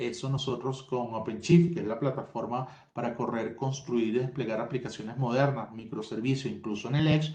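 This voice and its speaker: Against noticeable background noise and audible room echo, a man with a Venezuelan accent talks at a fairly quick pace with hardly any pauses and fairly even intonation. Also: medium pitch for a man. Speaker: tech company solutions expert. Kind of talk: webinar presentation.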